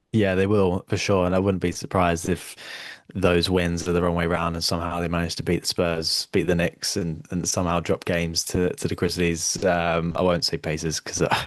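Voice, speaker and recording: In a British accent, a man speaks at a very deep, low pitch and a fairly quick pace. His intonation is monotone and flat, against a quiet background. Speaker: podcast host. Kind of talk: casual chat. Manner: halting, many fillers and repeated words.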